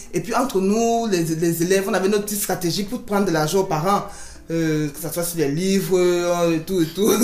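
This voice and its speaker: At a moderate pace, a woman at medium pitch speaks with ordinary pitch variation, with audible room echo and noticeable background noise. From Cameroon. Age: 30s. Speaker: business owner. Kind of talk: interview. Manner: halting.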